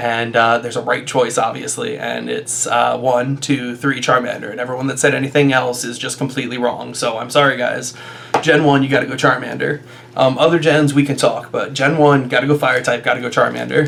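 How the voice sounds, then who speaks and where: A man with a medium-pitched voice talks at a fairly quick pace in a monotone, flat intonation. There is noticeable background noise. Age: 30s. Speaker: YouTuber and stage actor. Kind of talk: casual vlog monologue. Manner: many fillers and hesitations; loud.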